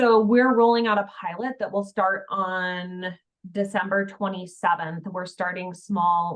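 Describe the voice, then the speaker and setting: At a fairly slow pace, a woman with medium pitch and fairly even intonation speaks in an unremarkable speaking voice. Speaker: health information exchange presenter. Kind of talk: webinar presentation.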